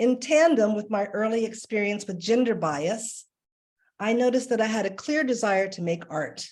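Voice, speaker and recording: A woman speaks in an American accent at a moderate pace and medium pitch. Hers is an ordinary speaking voice. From Washington, D.C., US. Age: 60s. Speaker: artist and art educator. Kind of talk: presentation. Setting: video call.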